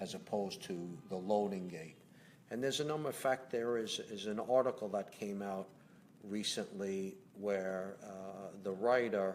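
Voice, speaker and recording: In a Brooklyn accent, a man speaks at a moderate pace with fairly low pitch and ordinary pitch variation. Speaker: company president. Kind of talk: live Q&A. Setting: home livestream. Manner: conversational, hesitant fillers.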